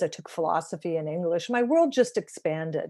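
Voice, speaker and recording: A woman with a Canadian accent has a normal speaking voice, medium pitch and a fairly quick pace. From Canada, small-town Ontario. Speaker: author. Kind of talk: interview.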